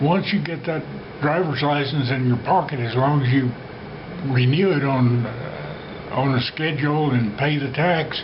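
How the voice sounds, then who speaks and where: A man with a fairly high voice speaks at a fairly slow pace with ordinary pitch variation. Audible room echo and noticeable background noise are present. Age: 90s. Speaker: retired flight instructor. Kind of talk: personal storytelling. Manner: hesitant with frequent fillers.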